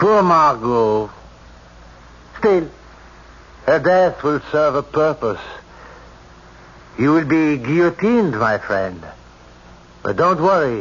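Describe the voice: Putting on a character voice, a man speaks slowly with long, frequent pauses, big pitch swings, a fairly high pitch and a fairly bright tone.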